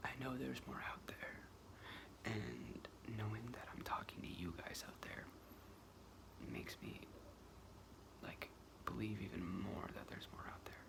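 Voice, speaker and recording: A woman whispering in an American accent, at a fairly slow pace with long, frequent pauses and noticeable background noise. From New York state. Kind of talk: casual talk to camera. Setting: close-up microphone, ASMR. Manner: whispered, rambling.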